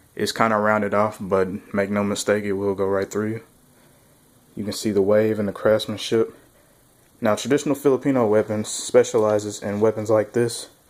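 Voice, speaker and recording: Flat and monotone in his intonation, the man talks with a fairly low voice. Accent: Southern US. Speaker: weapons reviewer. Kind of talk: product demo. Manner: casual.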